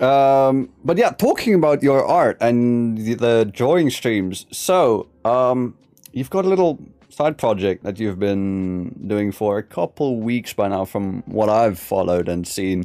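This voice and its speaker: With music playing in the background, a man talks using lively intonation. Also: medium pitch for a man, fairly slow pace. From South Africa. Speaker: podcast host, VTuber. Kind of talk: casual interview. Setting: live stream.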